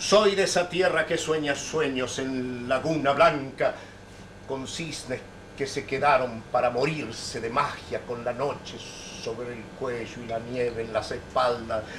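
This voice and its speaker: Over noticeable background noise, a man speaks at a fairly slow pace with ordinary pitch variation. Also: medium pitch for a man. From Neuquén, Argentina. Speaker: poet. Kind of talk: poetry reading. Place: hall. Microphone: old recording.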